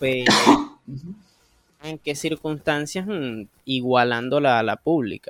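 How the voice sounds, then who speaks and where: Dry, close sound with no echo, a man at a medium pitch with fairly even intonation. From Venezuela, Anaco (Anzoátegui state). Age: 20s. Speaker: computer and phone repair technician. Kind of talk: casual chat.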